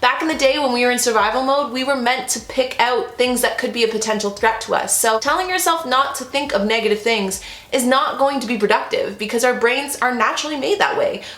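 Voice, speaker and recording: Loud and high-pitched, a woman talks at a fairly quick pace with ordinary pitch variation and hardly any pauses, over noticeable background noise and audible room echo. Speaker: lifestyle vlogger. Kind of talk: casual chat. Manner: animated.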